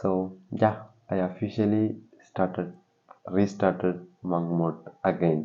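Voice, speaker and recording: With long, frequent pauses, a man with a very deep, low pitch speaks at a very slow pace and ordinary pitch variation. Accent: non-native. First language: not English. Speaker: vlogger. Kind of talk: casual vlog. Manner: halting.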